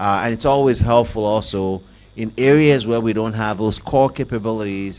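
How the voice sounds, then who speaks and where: Speaking at a fairly quick pace with a Nigerian accent, a man uses a fairly low pitch and ordinary pitch variation. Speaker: IT business executive. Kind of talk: panel discussion.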